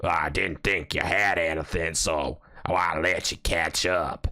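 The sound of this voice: A man puts on a character voice, raspy and very deep, at a fairly slow pace. His intonation is monotone and flat, with very even loudness.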